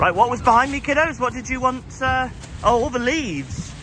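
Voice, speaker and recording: Against noticeable background noise, a man with a Cornish accent uses a raised, projected voice at an extremely high pitch, keeping a moderate pace and ordinary pitch variation. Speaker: travel vlogger. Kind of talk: travel vlog narration. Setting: outdoors. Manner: casual.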